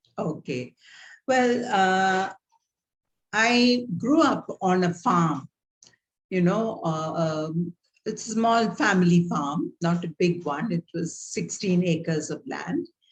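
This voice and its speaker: In a Tamil Indian accent, the somewhat breathy voice moves at a very slow pace with lively intonation and long, frequent pauses. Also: woman, medium pitch for a woman. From South India, Tamil Nadu. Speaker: theologian and guest lecturer. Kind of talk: guest lecture over video call. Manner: halting, many fillers.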